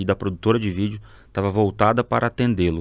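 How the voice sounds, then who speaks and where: A man with fairly low pitch and ordinary pitch variation speaks at a very fast pace in a very clean recording with a silent background. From Mato Grosso, Brazil (born Rondônia). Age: 30s. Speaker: advertising agency partner. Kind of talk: podcast interview. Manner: casual, conversational.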